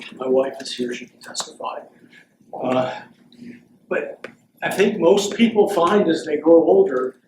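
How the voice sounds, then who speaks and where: At a fairly slow pace, a man speaks at a fairly high pitch with lively intonation. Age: 60s. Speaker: philosophy professor emeritus. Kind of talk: Q&A after a lecture.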